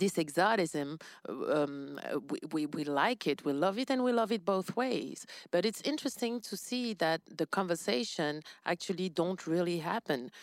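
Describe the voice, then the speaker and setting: With a French accent, a woman speaks at a fairly slow pace in a fairly low pitch, her voice making very wide pitch swings. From France. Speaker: podcast co-host. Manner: conversational, relaxed.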